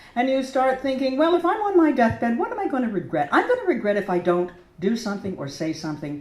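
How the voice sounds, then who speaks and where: A woman with an American accent talks at a very fast pace with very wide pitch swings. Room echo is audible. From United States. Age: 70s. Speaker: portrait painter. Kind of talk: speech to an audience. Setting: gallery opening with audience in a church. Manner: animated.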